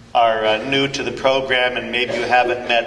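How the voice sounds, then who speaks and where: A medium-pitched man speaks with monotone, flat intonation. Noticeable background noise and audible room echo fill the recording. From Northern California. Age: 60s. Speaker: 12-step speaker, priest. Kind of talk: recovery talk. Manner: halting, many fillers.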